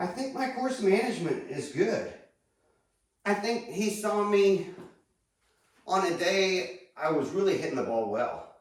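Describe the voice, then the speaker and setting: Speaking at a high pitch with lively intonation, a man goes at a fairly slow pace with long, frequent pauses, and room echo is audible. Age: 60s. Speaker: golf instructor. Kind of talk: casual monologue tutorial. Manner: conversational, rambling.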